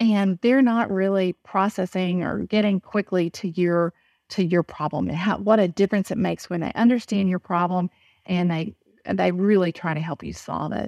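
With a Southern US accent, a woman speaks at medium pitch and a moderate pace, with fairly even intonation, in a dry, close sound with no echo and a quiet background. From Texas. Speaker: business executive and speaker. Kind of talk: interview.

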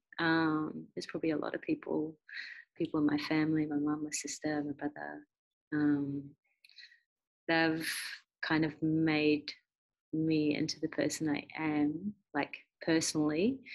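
A woman with a New Zealand accent, very deep and low in pitch, flat and monotone, at a fairly slow pace with long, frequent pauses. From New Zealand, Christchurch. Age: 20s. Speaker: professional cricketer. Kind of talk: casual interview.

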